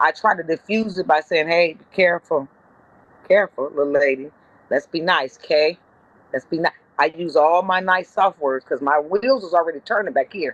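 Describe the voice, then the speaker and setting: A woman with an American accent speaks in an animated tone at a moderate pace and a fairly low pitch, with ordinary pitch variation and big swings in loudness, in dry, close sound with no echo. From Compton, California. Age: 50s. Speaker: comedian and bus driver. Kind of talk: casual chat.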